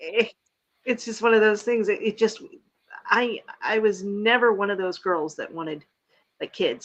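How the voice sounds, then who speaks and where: Using an unremarkable speaking voice, a woman keeps a moderate pace and ordinary pitch variation. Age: 50s. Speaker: livestream host. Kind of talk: casual chat. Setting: live video stream.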